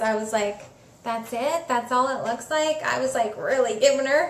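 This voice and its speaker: A woman talks at a moderate pace with a high pitch. Noticeable background noise runs behind her. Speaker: spiritual coach / healer. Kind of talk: live Q&A talk. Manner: casual, chatty.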